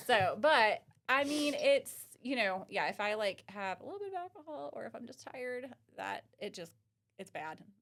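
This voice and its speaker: In a strong Southern US accent, a woman with a high voice speaks at a moderate pace, her pitch swinging very widely and her loudness shifting in big swings. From US South (Texas, Oklahoma, Kentucky). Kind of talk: casual podcast chat. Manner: animated.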